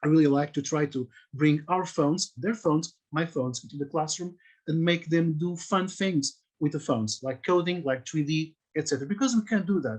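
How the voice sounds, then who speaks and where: Moderate pace, with a Portuguese accent. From Portugal. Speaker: teacher. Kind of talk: conference talk. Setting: video call. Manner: halting.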